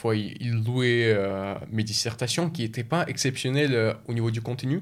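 Fairly slow speech from a man with a medium pitch and fairly even intonation. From Russia (Moscow, Chechen family), moved to France at 12. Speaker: engineering student. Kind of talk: interview.

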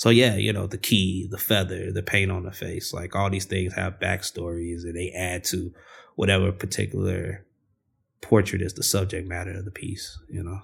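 On a very clean recording with a silent background, a man with a very deep, low pitch speaks at a moderate pace in a relaxed, somewhat breathy tone with monotone, flat intonation. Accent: American. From US Midwest, South Side of Chicago. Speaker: artist and muralist. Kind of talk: casual interview. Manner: relaxed, many fillers and repetitions.

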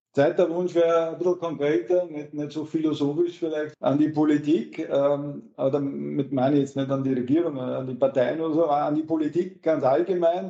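Fairly quick with hardly any pauses, a man's voice sits at a fairly high pitch with a dark, mellow tone and fairly even intonation. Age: 40s. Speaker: trade union official. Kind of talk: interview.

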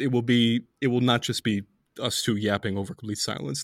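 An unremarkable speaking voice, a man talks at a fairly quick pace and medium pitch with ordinary pitch variation, captured on a very clean recording with a silent background. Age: 20s. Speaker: podcast host writing on Middle East politics. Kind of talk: casual chat.

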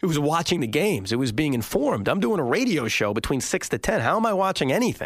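A man's fairly high voice at a very fast pace, with very wide pitch swings, very even loudness and hardly any pauses. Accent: New York. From Long Island, New York. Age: 30s. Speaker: sports radio host. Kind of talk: interview.

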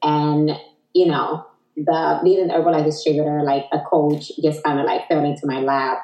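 The intonation stays fairly even at a moderate pace. The speaker has a Dominican accent. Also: woman, very deep, low pitch for a woman. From Dominican Republic. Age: 40s. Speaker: Herbalife distributor, entrepreneur. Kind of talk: casual interview chat.

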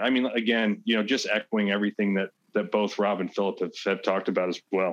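An unremarkable speaking voice at a fairly quick pace, with ordinary pitch variation, a quiet background and a dry, close sound with no echo. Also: man. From US Midwest, St. Louis County, Missouri. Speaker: school board candidate. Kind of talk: interview.

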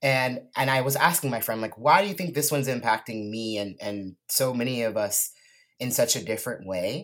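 A man talks at a moderate pace with a West Coast US accent. His intonation is lively. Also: medium pitch for a man, very clean recording, silent background. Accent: General American (West Coast). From California Central Coast. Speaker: artist and musician. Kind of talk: casual interview.

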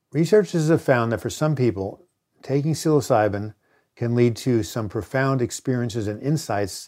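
A man's dark, mellow voice at a medium pitch and moderate pace, on a very clean recording with a silent background. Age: 70s. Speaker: author and mental health educator. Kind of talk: educational monologue. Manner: frequent filler hesitations.

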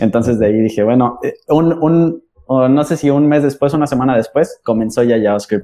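Delivered in a plain, everyday voice, the speech moves at a moderate pace with ordinary pitch variation and very even loudness. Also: man, medium pitch for a man. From Mexico City. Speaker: podcast host. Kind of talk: casual chat.

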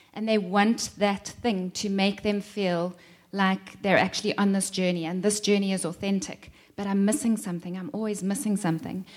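A woman's normal speaking voice, medium in pitch, with fairly even intonation at a moderate pace. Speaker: teacher of enneagram.

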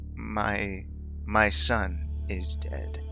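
A man performs in a put-on character voice. Clear music plays in the background. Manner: heavy, weary, flat.

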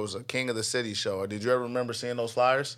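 Speaking very fast at medium pitch, a man is heard over noticeable background noise. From Nebraska. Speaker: musician and label owner. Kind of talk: casual chat. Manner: animated.

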